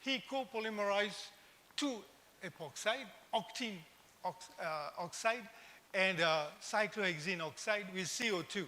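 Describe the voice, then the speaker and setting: A man with a high-pitched, raised and projected voice talks at a fairly slow pace. He leaves long, frequent pauses, and his pitch varies in an ordinary way. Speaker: invited conference speaker. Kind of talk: conference lecture.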